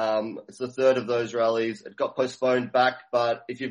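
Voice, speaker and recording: Speaking in an Australian accent at a fairly quick pace, a man of medium pitch keeps a flat monotone. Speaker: activist sound system operator. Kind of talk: casual interview. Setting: phone call.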